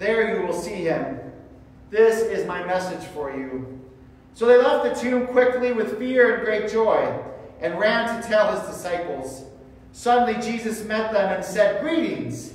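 There is strong room echo around this man's voice. He speaks at a fairly slow pace. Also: lively intonation. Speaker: church reader or pastor. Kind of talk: scripture reading. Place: church. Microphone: camera far.

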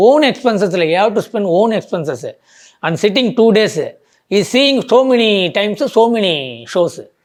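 A man talks in a high pitch with lively intonation. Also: quiet background. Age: 40s. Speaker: film fan. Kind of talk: interview. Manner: animated.

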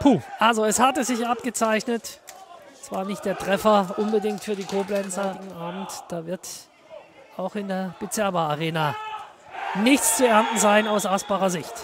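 Crowd noise fills the background. The pace is moderate, broken by long, frequent pauses. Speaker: football commentator. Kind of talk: live football commentary, play-by-play over match highlights. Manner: conversational with co-commentator, opinionated, sometimes rueful.

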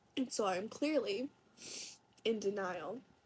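A woman speaks at a very slow pace in a fairly high-pitched voice. Her delivery is somewhat breathy. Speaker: vlogger. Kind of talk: casual talk to camera. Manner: quiet, hard to hear. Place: home room. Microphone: phone near.

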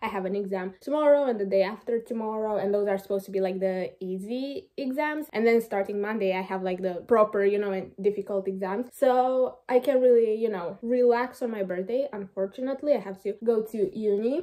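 A woman with a Romanian accent talks at a fairly quick pace with hardly any pauses. Her voice sits fairly high, with ordinary pitch variation, over a quiet background. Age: 20s. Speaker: university student. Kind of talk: casual talk to camera. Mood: relaxed, chatty. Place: home room. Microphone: phone near.

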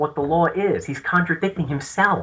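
This man has a Long Island accent, a high pitch, a bright, sharp tone and lively intonation. He keeps a moderate pace against a quiet background. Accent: Long Island New York. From Long Island, New York (Suffolk County). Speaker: legal activist and author. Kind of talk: interview.

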